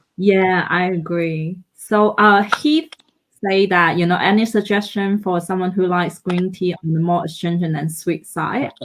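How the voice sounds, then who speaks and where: Here a woman talks at a medium pitch. Her pace is fairly slow and her intonation fairly even. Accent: non-native. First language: not English. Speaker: tea festival organizer. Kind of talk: live stream interview.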